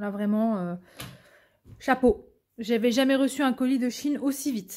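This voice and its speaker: Her tone is dark and mellow, with a fairly high pitch. The woman speaks at a moderate pace. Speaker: diamond painting content creator. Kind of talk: unboxing video, casual chat. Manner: stammering, hesitant.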